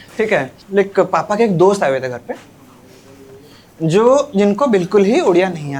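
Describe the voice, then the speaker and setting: Amid noticeable background noise, a high-pitched man with an Odia accent speaks with very wide pitch swings, big swings in loudness, and long, frequent pauses. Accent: Odia accent in Hindi. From Odisha, India. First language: Odia (speaking Hindi). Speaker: stand-up comedian. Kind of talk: stand-up.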